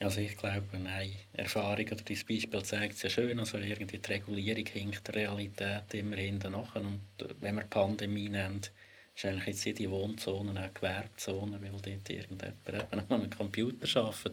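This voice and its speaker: At a moderate pace, a man speaks in a fairly low, somewhat breathy voice with monotone, flat intonation. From Switzerland, Lucerne. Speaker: historian and spatial planning expert. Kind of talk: casual discussion.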